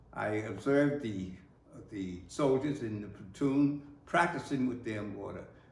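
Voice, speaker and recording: A man with an American accent talks at a medium pitch and a moderate pace, with ordinary pitch variation. Noticeable background noise is present. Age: 80s+. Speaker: war veteran. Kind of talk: oral history recollection.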